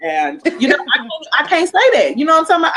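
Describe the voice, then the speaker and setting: Loud and animated in tone, a woman is speaking. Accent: American. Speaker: entrepreneur guest. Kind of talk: casual interview chat.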